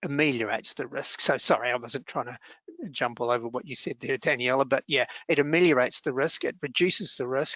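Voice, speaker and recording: In an Australian accent, a man speaks at a medium pitch with ordinary pitch variation. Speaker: workplace relations adviser. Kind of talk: webinar Q&A. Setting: online webinar. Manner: fast; halting, many fillers.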